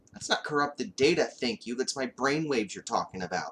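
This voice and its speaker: In a put-on character voice, a man talks fairly quickly at a fairly high pitch. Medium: read story. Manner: testy.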